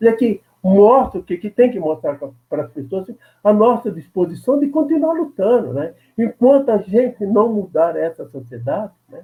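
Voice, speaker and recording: A man talks at a moderate pace in a high voice. His pitch swings very widely and his loudness shifts a lot. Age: 80s+. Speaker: veteran labor activist, former congressman. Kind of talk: interview.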